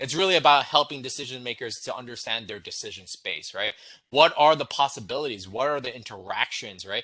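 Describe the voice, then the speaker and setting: A man speaks at a fairly quick pace with lively intonation and big swings in loudness. His tone is bright and sharp, his pitch medium, and the background quiet. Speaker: wargame designer on a panel. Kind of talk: panel discussion. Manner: fast.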